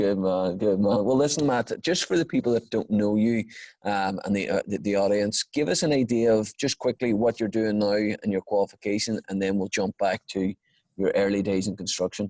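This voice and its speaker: Recorded dry and close with no echo, the voice carries a dark, mellow tone and an Irish accent. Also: man, fairly low pitch for a man, ordinary pitch variation, very even loudness. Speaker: podcast host. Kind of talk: podcast interview. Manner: fast.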